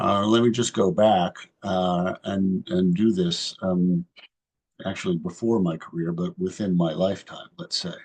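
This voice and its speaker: Speaking at a fairly slow pace, a man with an American accent has a very deep, low pitch and fairly even intonation. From West Virginia, Morgantown. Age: 60s. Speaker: magazine editor and political commentator. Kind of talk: talk to an online civic group. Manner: halting, many fillers.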